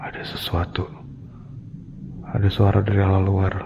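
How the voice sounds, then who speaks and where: A man speaks at a fairly slow pace with a fairly low pitch. His intonation stays fairly even. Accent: Jakarta. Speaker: ghost-hunting vlogger. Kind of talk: casual storytelling vlog. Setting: outdoors at night, abandoned hospital. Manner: casual slangy.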